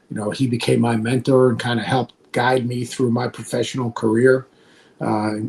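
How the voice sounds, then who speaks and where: Somewhat breathy and monotone, flat in intonation, with an American accent at a moderate pace. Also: man, medium pitch for a man. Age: 60s. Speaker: college basketball analyst and former coach. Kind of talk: podcast interview.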